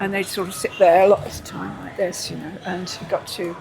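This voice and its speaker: A woman's very fast, medium-pitched speech with fairly even intonation amid noticeable background noise. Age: 80s+. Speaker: entertainer and dancer. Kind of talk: interview. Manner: halting.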